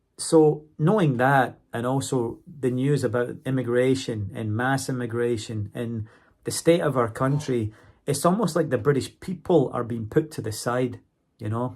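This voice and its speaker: A man with a Scottish accent talks at a moderate pace and medium pitch, with ordinary pitch variation. The recording is very clean, with a silent background. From Scotland. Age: 40s. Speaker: university English teacher and vlogger. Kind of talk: casual monologue vlog.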